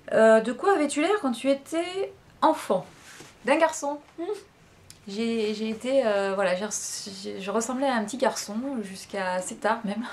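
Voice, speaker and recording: This woman's voice is fairly high, with lively intonation. She speaks at a fairly slow pace. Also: big swings in loudness. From western France (La Rochelle). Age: 40s. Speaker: vlogger. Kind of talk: casual chat. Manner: hesitant, many fillers.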